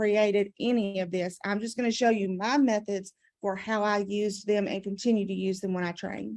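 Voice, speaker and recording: This woman has a Southern US accent and a medium pitch. Her intonation is fairly even, with hardly any pauses. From US South. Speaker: adult education math trainer. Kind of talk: conference presentation.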